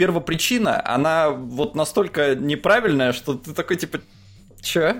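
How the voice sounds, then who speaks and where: Lively intonation carries the speech over music in the background. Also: man. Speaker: podcast co-host. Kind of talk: casual chat.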